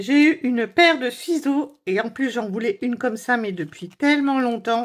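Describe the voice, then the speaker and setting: Animated and high-pitched, a woman speaks with lively intonation at a moderate pace. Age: 50s. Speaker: cross-stitch hobby vlogger. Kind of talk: casual unboxing vlog. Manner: animated, chatty with many fillers.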